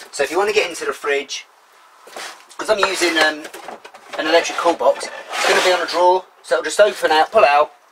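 Loud background noise surrounds a man who speaks at a fairly quick pace. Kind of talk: tutorial. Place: car. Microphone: camera far.

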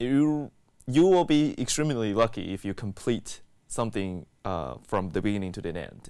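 Against a quiet background, a man with an American accent speaks in a dark, mellow tone with very wide pitch swings. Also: moderate pace. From Taiwan and Texas. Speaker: graduate student researcher. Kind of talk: interview testimony. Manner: hesitant with fillers. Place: studio. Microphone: lapel.

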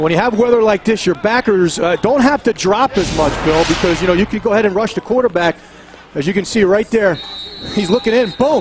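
Noticeable background noise surrounds a man with a high pitch. He talks at a fairly quick pace with ordinary pitch variation. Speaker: color commentator. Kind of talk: live commentary. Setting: outdoors.

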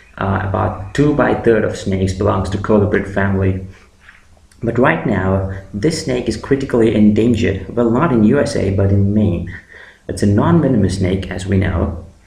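Over noticeable background noise and audible room echo, a man with a fairly low voice speaks at a moderate pace with ordinary pitch variation. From India, Andhra Pradesh (Amalapuram). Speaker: YouTuber. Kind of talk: tutorial.

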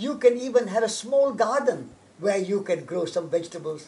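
A man speaks at a moderate pace with a high-pitched voice. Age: 80s+. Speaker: environmental activist and college founder. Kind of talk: interview. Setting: on location at a historic estate. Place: garden.

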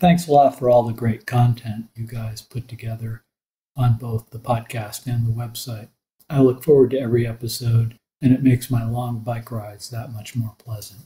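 In an American accent, a man of medium pitch speaks at a moderate pace with a dark, mellow, somewhat breathy tone, monotone, flat intonation and big swings in loudness. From US, Colorado. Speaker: listener asking a question. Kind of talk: recorded listener question.

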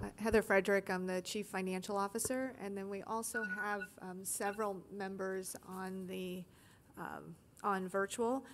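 A woman speaks at a moderate pace in a monotone, flat intonation. Light background noise is present. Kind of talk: meeting introductions. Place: meeting room.

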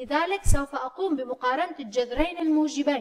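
Against a quiet background, a woman talks at a fairly slow pace in a high voice. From Syria. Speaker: math teacher. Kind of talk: lecture. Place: meeting room.

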